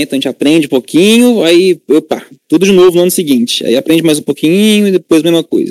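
Very wide pitch swings from a man, dry and close with no echo. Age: 20s. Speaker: computer engineering student. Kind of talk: interview.

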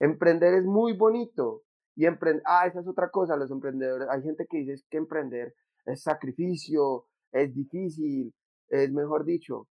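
This man has a normal speaking voice, fairly high in pitch, with ordinary pitch variation and a moderate pace. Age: 20s. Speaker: economics student and app entrepreneur. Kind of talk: casual interview.

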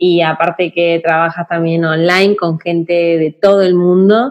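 A woman with a fairly low pitch speaks with fairly even intonation at a very slow pace. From Argentina. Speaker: podcast host, marketing consultant. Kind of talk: casual interview.

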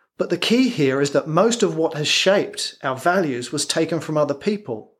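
This man has a fairly high voice and an English accent, with ordinary pitch variation at a moderate pace. The recording is very clean, with a silent background. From England. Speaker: performance coach. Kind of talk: scripted narration.

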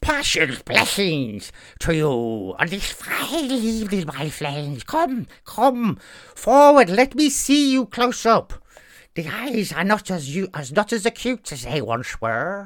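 On a very clean recording with a silent background, a man does a put-on character voice, high-pitched with very wide pitch swings and a very slow pace. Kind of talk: comic monster voice. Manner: jovial, coaxing, friendly.

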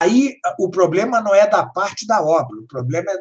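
The speech runs at a moderate pace with very wide pitch swings. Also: man. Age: 60s. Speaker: professor and author on art. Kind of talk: lecture. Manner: halting, many fillers.

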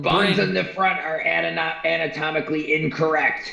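A man puts on a character voice at a fairly high pitch. He speaks at a moderate pace with slight echo. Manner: grandiose, contemptuous, imperious.

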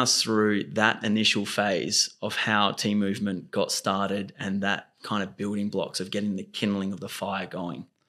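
Speaking with an Australian accent, the man has a fairly low pitch. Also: hardly any pauses. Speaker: podcast host. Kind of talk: casual interview chat.

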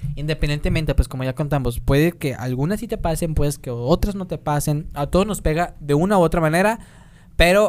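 The speaker has a normal speaking voice with ordinary pitch variation. The pace is fairly quick. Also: man. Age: 20s. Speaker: podcast host. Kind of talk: casual chat; reading aloud.

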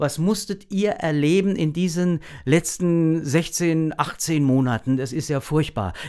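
A man's fairly high voice carries a dark, mellow tone as he talks very slowly. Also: ordinary pitch variation. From Lower Franconia, Germany (Großwallstadt). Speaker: actor. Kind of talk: casual interview.

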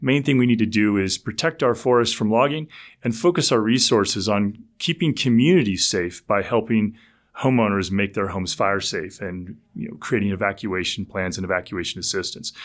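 Fairly low in pitch with lively intonation, a man with a plain, everyday voice speaks at a fairly quick pace on a very clean recording with a silent background. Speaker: ecologist and author. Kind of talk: casual interview.

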